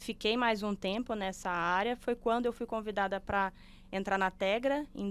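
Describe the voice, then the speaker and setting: A woman's medium-pitched voice with ordinary pitch variation at a fairly slow pace, on a very clean recording with a silent background. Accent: Belo Horizonte. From Brazil, Belo Horizonte (Minas Gerais). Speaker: sustainability manager, civil engineer. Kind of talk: podcast interview.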